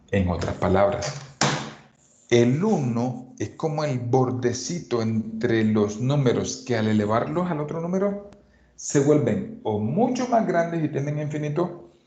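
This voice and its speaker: Audible room echo surrounds a man who talks at a fairly slow pace, with a medium pitch and very wide pitch swings. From Colombian Caribbean coast. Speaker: math teacher. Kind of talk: lecture.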